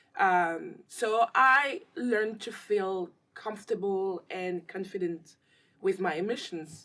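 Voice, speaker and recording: A woman with a French accent speaks at a very slow pace in a bright, sharp tone, her medium pitch showing ordinary variation. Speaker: actress and filmmaker. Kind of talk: interview.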